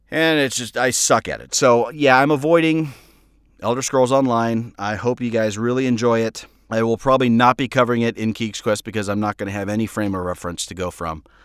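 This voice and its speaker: A man at a medium pitch with a normal speaking voice, ordinary pitch variation and a fairly quick pace, in a very clean recording with a silent background. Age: 40s. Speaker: podcast host and audio drama creator. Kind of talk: casual solo update monologue. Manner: casual, with filler words and repetitions.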